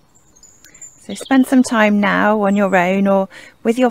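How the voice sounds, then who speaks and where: A woman at a medium pitch. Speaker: church leader. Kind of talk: guided prayer.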